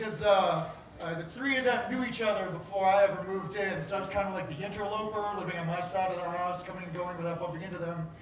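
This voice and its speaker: High-pitched man talking at a very fast pace, with noticeable background noise and audible room echo. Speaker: storyteller. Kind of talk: live personal storytelling. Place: stage.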